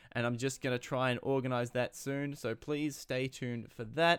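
At a fairly quick pace, a man delivers his words with fairly even intonation. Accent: Australian. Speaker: podcast host and film critic. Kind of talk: casual podcast talk and interview. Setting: video call.

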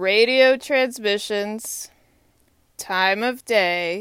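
Very slowly, a woman speaks. The rise and fall of her pitch is ordinary. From Texas. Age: 30s. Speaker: vlogger. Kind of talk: monologue. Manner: halting.

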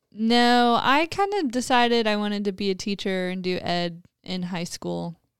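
With hardly any pauses, a woman speaks in a normal speaking voice at medium pitch, with ordinary pitch variation and a moderate pace. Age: 20s. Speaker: church ministry apprentice. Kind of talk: casual chat.

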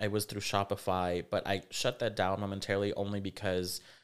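A man with an American accent talks in a plain, everyday voice at a fairly low pitch and fairly quick pace. His intonation stays fairly even, and the recording is very clean with a silent background. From Rio Grande Valley, South Texas. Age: 30s. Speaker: fashion designer. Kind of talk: casual interview chat.

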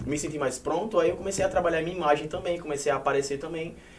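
A man speaks with a fairly high pitch and ordinary pitch variation. Audible room echo and noticeable background noise are present. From Paraíba, Brazil. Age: 20s. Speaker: social media influencer. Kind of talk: casual chat.

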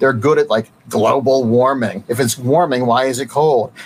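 Noticeable background noise runs behind a man speaking at a moderate pace with an American accent. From Ohio, Cleveland area. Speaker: comic book writer and competitor. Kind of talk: casual interview.

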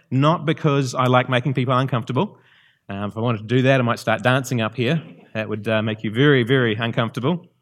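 Speaking very fast with a New Zealand accent, a man uses a medium pitch and ordinary pitch variation in a very clean recording with a silent background. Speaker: visiting preacher. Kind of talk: sermon. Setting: church. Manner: halting.

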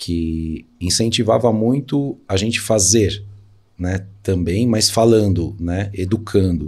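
A man's fairly low, dark and mellow voice with a São Paulo accent and fairly even intonation. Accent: Paulistano Brazilian Portuguese. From São Paulo, Brazil (east zone). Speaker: entrepreneur. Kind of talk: interview.

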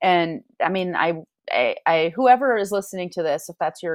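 A woman with an American accent, an ordinary speaking voice, a fairly low pitch and lively intonation. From Michigan, Grand Rapids. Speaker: parent coach. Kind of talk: interview.

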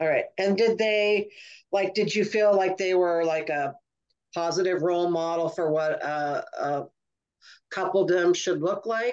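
A woman at medium pitch, fairly slow pace and ordinary pitch variation, a normal speaking voice. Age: 60s. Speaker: podcast host and comedian. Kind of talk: casual interview chat.

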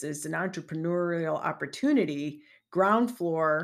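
In a normal speaking voice, a woman with an American accent talks at a fairly low pitch with lively intonation. The recording is very clean, with a silent background. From Chicagoland area, Illinois. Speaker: podcast host, network marketing business coach. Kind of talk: solo podcast monologue. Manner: conversational, with frequent fillers and restarts.

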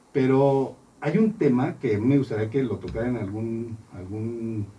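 A man speaks fairly slowly in a dark, mellow tone that is somewhat breathy. His pitch varies in an ordinary way. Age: 40s. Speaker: accountant. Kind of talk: radio interview. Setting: studio.

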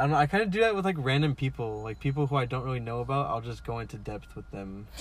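A man talks at a very fast pace with an American accent. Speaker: podcast co-host. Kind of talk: casual chat. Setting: in a car.

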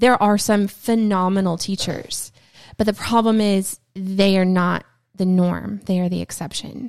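In a very clean recording with a silent background, a woman at a medium pitch speaks at a fairly slow pace with fairly even intonation. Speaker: podcast co-host and homeschooling mother. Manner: soft-spoken.

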